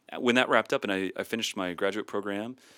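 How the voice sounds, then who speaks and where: Recorded very clean with a silent background and a dry, close sound with no echo, a man with an American accent speaks at a fairly low pitch in a bright, sharp tone with fairly even intonation. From US Midwest (north central Iowa). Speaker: worship ministry professor. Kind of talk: interview.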